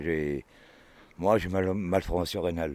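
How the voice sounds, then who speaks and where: Fairly slow and fairly even in intonation, a man speaks with a very deep, low pitch. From Aurillac area, Cantal (France). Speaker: grape picker, former soldier. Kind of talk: casual storytelling. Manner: halting.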